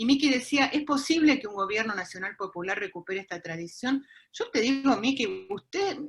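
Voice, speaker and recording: A woman with a fairly high pitch speaks at a moderate pace, her pitch swinging very widely. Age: 60s. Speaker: university lecturer in popular education. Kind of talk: panel discussion.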